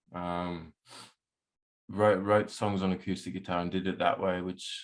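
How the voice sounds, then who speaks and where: On a very clean recording with a silent background, a man with a very deep, low pitch and an Australian accent talks in a monotone, flat way. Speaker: musician and producer. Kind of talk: casual interview chat.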